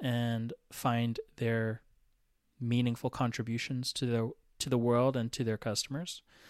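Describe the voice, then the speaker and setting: With an American accent, a man speaks in a normal speaking voice at a fairly slow pace, in a dry, close sound with no echo. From Atlanta, US South. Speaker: podcast co-host, brand strategist. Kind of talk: casual chat.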